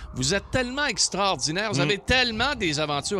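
A man talks at a very fast pace in a bright, sharp tone with vocal fry. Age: 60s. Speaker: radio host. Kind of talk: casual chat.

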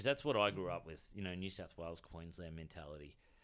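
Speaking in an Australian accent, a man with a very deep, low pitch uses ordinary pitch variation. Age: 40s. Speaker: comedian. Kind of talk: casual chat.

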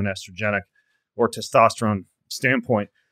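A man talks in an unremarkable speaking voice at medium pitch. His pace is fairly quick, and his intonation is fairly even. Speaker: podcast host. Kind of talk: interview.

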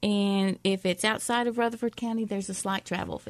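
Monotone and flat, a woman with a Southern US accent speaks at a fairly quick pace with a medium pitch, the sound dry and close with no echo. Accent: Southern country. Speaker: shopping podcast co-host. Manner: casual, chatty.

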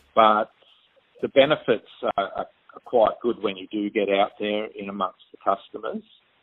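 Speaking at a moderate pace, this man has an Australian accent. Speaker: postal manager. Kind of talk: recorded interview. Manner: halting. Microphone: crackly phone line.

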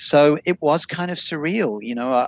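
A man with an Australian accent and ordinary pitch variation, in a dry, close sound with no echo. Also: quiet background. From Australia, Sydney. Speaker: journalist, former radio host. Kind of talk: remote radio interview.

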